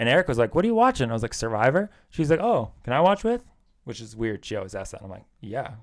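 A man speaks at a very fast pace with very wide pitch swings. The recording is very clean with a silent background. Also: medium pitch for a man, big swings in loudness. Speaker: podcast co-host. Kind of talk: casual chat.

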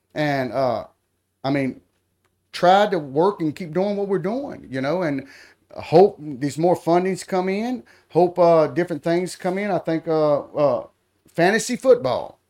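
In a very clean recording with a silent background, a man with a high voice and a dark, mellow tone speaks at a fairly slow pace with lively intonation. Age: 40s. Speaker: local politician. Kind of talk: interview. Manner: halting.

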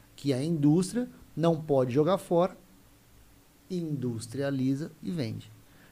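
Somewhat breathy, a man speaks with a fairly high pitch and a dark, mellow tone. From Mato Grosso do Sul, Brazil (Camapuã). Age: 40s. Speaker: meat business co-founder. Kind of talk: casual interview chat.

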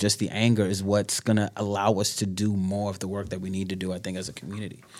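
On a very clean recording with a silent background, a man with a New York accent talks at a fairly quick pace in a fairly low pitch. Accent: New York (Bronx). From New York, the Bronx. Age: 30s. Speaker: speaker and writer. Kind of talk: casual interview chat.

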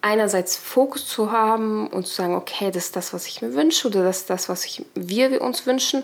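A woman's fairly high, animated voice at a moderate pace, with ordinary pitch variation. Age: 30s. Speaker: podcast guest sharing personal story. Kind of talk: personal testimony in casual interview.

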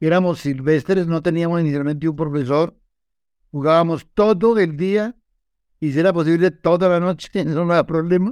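Keeping his intonation fairly even, a man talks at a moderate pace in a high voice. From Colombia, Valle del Cauca. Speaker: football historian and statistician. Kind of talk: interview conversation.

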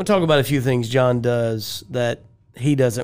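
An ordinary speaking voice from a man of medium pitch, with fairly even intonation. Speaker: podcast co-host. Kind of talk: interview.

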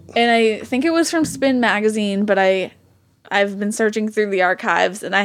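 A woman speaks with a strong New England accent at a medium pitch. Her pace is moderate, with ordinary pitch variation. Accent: New England, thick. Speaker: podcast host. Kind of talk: casual chat. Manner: joking, bantering.

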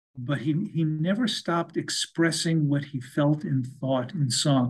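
This man's voice is somewhat breathy, with a fairly high pitch and ordinary pitch variation. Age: 70s. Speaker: author and music biographer. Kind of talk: interview. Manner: halting.

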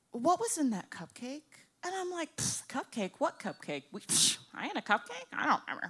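With an American accent, a woman speaks at a high pitch and a fairly quick pace, her pitch swinging very widely. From Boca Raton, Florida. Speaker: tattoo shop owner and stand-up comedian. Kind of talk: comedic live storytelling. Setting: stage with audience.

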